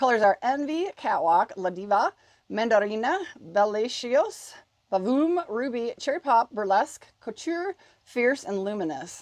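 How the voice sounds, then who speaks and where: In a dry, close sound with no echo, a woman speaks at a fairly slow pace, her fairly high pitch making very wide swings. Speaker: beauty YouTuber. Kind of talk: product review unboxing. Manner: casual, chatty.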